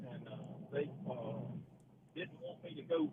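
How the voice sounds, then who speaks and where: Spoken at a moderate pace with a Mississippi accent. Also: man. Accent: US Southern (Mississippi). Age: 60s. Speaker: caller, fuel truck driver. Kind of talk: casual chat.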